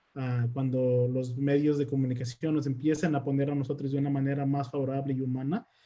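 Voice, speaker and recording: A man's dark, mellow tone at a fairly high pitch, at a fairly quick pace with fairly even intonation. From Mexico. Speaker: immigrant rights activist. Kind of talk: panel discussion.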